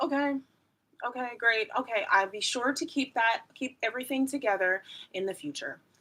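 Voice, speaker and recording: In a put-on character voice, a woman talks at a moderate pace with a high, raspy pitch and ordinary pitch variation. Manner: sarcastic, falsely agreeable.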